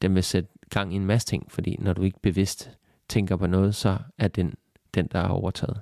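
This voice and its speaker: This man's voice has a dark, mellow tone, with a dry, close sound with no echo on a very clean recording against a silent background. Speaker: podcast host and self-love coach. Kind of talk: solo podcast monologue. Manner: hesitant with many fillers.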